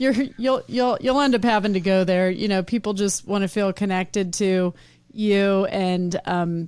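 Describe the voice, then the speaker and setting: An ordinary speaking voice with an American accent, ordinary pitch variation and a moderate pace, recorded very cleanly against a silent background. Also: woman. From United States. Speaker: podcast host and medium. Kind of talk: casual interview chat.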